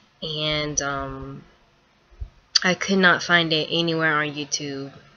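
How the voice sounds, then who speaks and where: Speaking at a very slow pace with a Southern US accent, a woman has a very deep, low pitch and fairly even intonation. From US South, North Carolina. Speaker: vlogger. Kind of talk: opinion vlog. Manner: hesitant, many ums.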